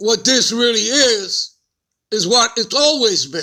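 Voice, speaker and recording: Someone with a New York accent talks at a very slow pace. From US Northeast, Bronx, New York. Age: 60s. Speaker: religious teacher. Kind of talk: lesson. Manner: casual.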